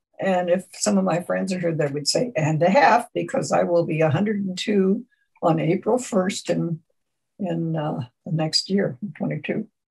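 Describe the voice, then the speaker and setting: Using vocal fry, a woman speaks at a moderate pace in a fairly low pitch with ordinary pitch variation. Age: 80s+. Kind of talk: oral history interview. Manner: halting.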